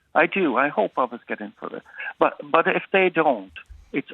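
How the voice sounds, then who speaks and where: A man with a Cork accent speaks at a moderate pace, his pitch swinging very widely. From Ireland, Cork north side. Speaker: caller. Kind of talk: testimony.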